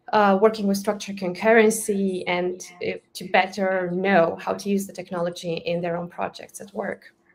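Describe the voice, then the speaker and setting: Speaking in a Romanian accent, a woman at medium pitch talks monotone and flat at a moderate pace, with hardly any pauses and big swings in loudness. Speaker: Java developer advocate. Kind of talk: casual interview chat. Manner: halting, many fillers.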